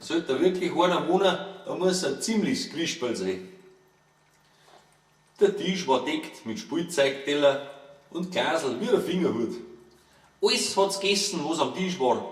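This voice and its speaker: A fairly slow delivery in a Bavarian accent. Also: man. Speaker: author reading own book. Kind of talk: humorous verse fairy tale reading.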